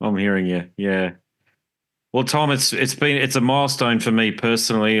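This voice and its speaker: A man with an Australian accent talks at a medium pitch. He keeps a moderate pace against a quiet background. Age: 40s. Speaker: podcast host. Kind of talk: interview.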